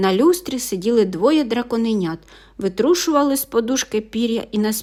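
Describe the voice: What you hear is someone doing plain reading aloud.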